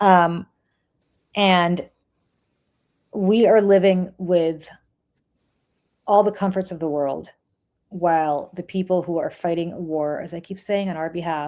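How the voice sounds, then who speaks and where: With a slight Russian accent, the speaker uses fairly even intonation, long, frequent pauses and big swings in loudness. The recording is very clean, with a silent background. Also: woman, fairly low pitch for a woman. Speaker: political podcast host. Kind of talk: casual chat.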